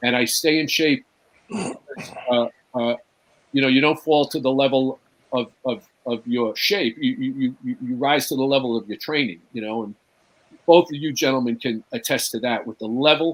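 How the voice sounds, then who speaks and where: A man speaks at medium pitch and a moderate pace. His is a plain, everyday voice with ordinary pitch variation. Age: 60s. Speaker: actor and firefighter. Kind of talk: casual chat. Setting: live talk show.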